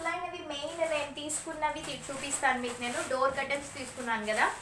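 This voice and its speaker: In a raised, projected voice pitched high, a woman speaks with ordinary pitch variation, audible room echo and light background noise. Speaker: vlogger and mother; vlogger. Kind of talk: casual vlog narration. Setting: at home. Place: home room. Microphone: phone near.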